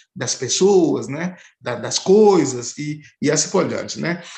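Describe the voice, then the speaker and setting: A man's voice with very wide pitch swings. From Haiti. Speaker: anthropology professor. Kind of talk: interview. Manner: halting, many fillers.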